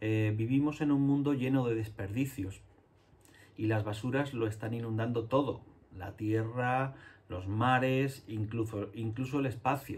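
A somewhat breathy man talks at a fairly slow pace with fairly even intonation. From Spain, Andalusia (Jerez); Andalusia, Spain. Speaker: illustrator and children's book author. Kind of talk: talk to schoolchildren. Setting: home studio. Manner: halting, many fillers. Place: home room.

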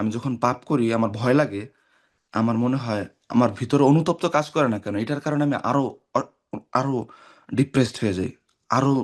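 In a quiet setting, a man's medium-pitched voice rises and falls in an ordinary way. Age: 20s. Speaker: caller. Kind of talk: call-in question. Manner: halting.

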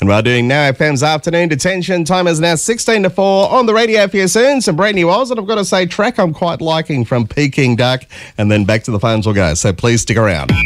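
A man at a fairly quick pace, with very wide pitch swings and hardly any pauses. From Australia. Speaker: radio presenter. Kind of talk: radio presenter aircheck, upbeat on-air banter. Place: studio. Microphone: studio mic.

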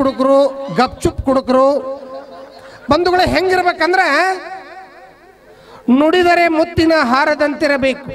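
Light background noise runs under a man speaking. His pitch is extremely high, with ordinary pitch variation. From North Karnataka. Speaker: stand-up comedian; school teacher. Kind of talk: stand-up comedy to live audience. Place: stage. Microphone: handheld.

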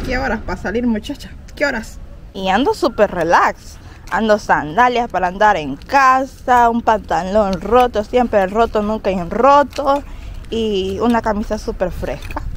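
Speaking at a fairly slow pace with ordinary pitch variation, a woman is heard in a dry recording with no echo and light background noise. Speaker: vlogger. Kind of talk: casual vlog chat. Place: street. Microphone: phone near.

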